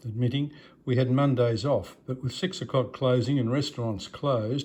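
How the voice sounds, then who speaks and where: Somewhat breathy and dark, mellow in tone, a man speaks with an Australian accent at medium pitch. His intonation is fairly even, and the background is quiet. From Australia, Melbourne. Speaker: retired doctor. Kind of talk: autobiographical talk to a club. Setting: club meeting with audience.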